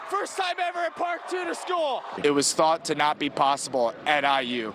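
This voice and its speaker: A man in an American accent at a moderate pace, with noticeable background noise. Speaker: sports broadcaster, anchor and reporter. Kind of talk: on-location feature report. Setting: outdoors at a school football event. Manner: playful, friendly, casual.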